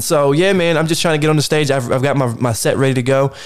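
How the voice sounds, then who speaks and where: Noticeable background noise sits behind this recording. A man with an American accent and fairly high pitch talks at a very fast pace. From Baltimore, Maryland. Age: 30s. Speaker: podcast host. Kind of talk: casual interview.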